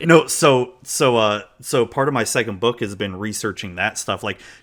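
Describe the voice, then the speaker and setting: A man with an American accent talks at a fairly slow pace, his bright, sharp voice fairly low in pitch with ordinary variation, on a very clean recording with a silent background. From United States. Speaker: author. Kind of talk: casual chat. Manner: animated.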